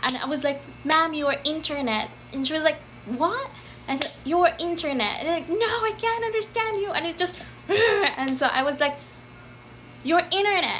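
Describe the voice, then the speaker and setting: With noticeable background noise, a woman talks at a moderate pace in an extremely high pitch, making very wide pitch swings and taking long, frequent pauses. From Philippines. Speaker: former call center agent. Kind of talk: casual talk to camera.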